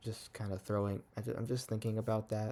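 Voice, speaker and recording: The voice is quiet. Its intonation stays fairly even. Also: man. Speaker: young church service missionary vlogger. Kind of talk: casual vlog monologue. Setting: at home at night. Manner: quiet, low volume; hesitant, many fillers.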